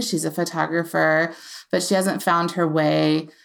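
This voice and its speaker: With an American accent, a woman speaks at a moderate pace in an unremarkable speaking voice of fairly low pitch, on a very clean recording with a silent background. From US Appalachia, Virginia/West Virginia border. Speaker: novelist and former diplomat. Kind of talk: casual interview.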